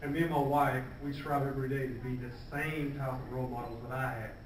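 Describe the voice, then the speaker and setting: With an American accent, a man talks at a fairly quick pace in a fairly high voice, with audible room echo and noticeable background noise. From Georgia, US South. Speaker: police officer and community speaker. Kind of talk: speech at a gala.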